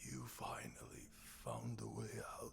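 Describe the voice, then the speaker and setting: The speaker uses a put-on character voice. Background noise is clearly heard. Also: moderate pace. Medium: video game.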